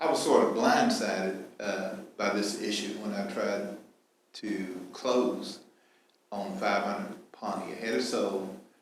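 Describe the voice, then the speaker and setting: Fairly slow speech with audible room echo. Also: man. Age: 70s. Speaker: property owner giving public comment. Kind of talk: public comment at meeting. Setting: public meeting at podium. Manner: halting.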